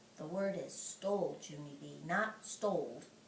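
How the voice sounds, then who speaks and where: A put-on character voice sits at a middle pitch. Clear background noise can be heard. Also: moderate pace. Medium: read story.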